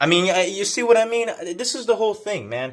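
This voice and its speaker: Loud and animated, the voice carries through the clip. It moves at a fairly quick pace. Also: man. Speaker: video blogger on faith and gangstalking. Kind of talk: video monologue. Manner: animated, repetitive filler 'man'.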